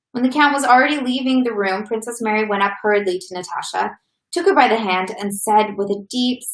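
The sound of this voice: Quiet surroundings, ordinary pitch variation and an unforced reading voice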